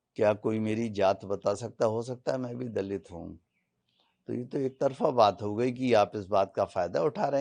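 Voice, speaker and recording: A man's medium-pitched, dark, mellow voice with ordinary pitch variation over a quiet background. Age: 70s. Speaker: lawyer. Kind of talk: interview. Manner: animated.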